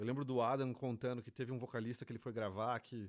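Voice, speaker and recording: This man talks at a very fast pace. His pitch is medium and his intonation stays flat and monotone. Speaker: podcast host. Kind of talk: casual interview chat.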